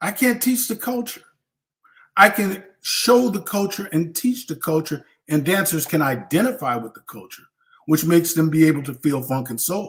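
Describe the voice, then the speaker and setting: With an American accent, a high-pitched man talks in an animated tone, his pitch swinging very widely and his loudness in big swings. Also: moderate pace. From US West Coast. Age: 60s. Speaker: veteran street dancer. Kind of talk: live online Q&A panel.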